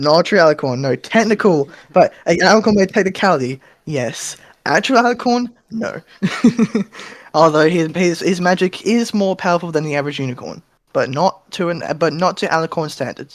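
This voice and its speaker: A man with an Australian accent, high-pitched, with lively intonation at a moderate pace. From Western Australia, Perth. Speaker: convention staff member. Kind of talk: casual panel introduction. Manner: halting, many fillers.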